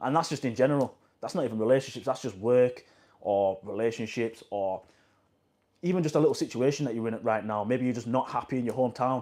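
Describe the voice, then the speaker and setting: A man with a West Yorkshire accent talks at a very fast pace in a dark, mellow tone of medium pitch. His pitch variation is ordinary, and the recording is very clean with a silent background. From northern England, Huddersfield, West Yorkshire. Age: 20s. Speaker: vlogger. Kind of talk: casual motivational monologue. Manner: casual, repetitive.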